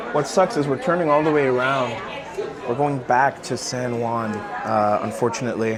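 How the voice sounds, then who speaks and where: A man with a Canadian accent speaks at a medium pitch and a moderate pace, with ordinary pitch variation. There is audible room echo, and crowd noise sounds in the background. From Canada, Brampton near Toronto, Ontario. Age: 20s. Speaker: travel vlogger. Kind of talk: casual vlog narration. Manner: casual, filler-heavy.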